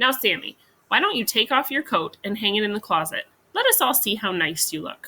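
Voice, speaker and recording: A female-sounding put-on character voice, fairly high in pitch, at a fairly quick pace. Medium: read story. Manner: calm, prim.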